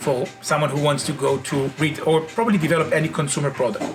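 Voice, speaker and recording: A man with an Israeli accent and fairly high pitch, at a fairly quick pace over noticeable background noise. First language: Hebrew. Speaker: company founder and CEO. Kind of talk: interview monologue.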